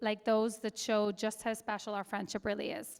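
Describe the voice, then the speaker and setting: In a very clean recording with a silent background, a woman with an Irish accent talks at a moderate pace and a fairly high pitch. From Ireland. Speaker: matron of honor. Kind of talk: wedding toast. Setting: wedding reception.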